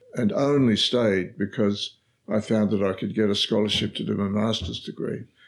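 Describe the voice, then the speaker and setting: A man with an Australian accent, fairly low in pitch, at a moderate pace. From Australia, Victoria. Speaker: former politician and professor. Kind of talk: interview. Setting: office. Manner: halting.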